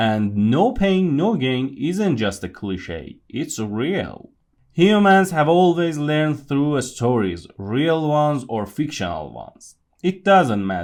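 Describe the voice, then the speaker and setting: A man's fairly high voice with a non-native accent, very wide pitch swings and a very slow pace. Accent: non-native accent, noticeable. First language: not English. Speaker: podcast host. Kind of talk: scripted monologue.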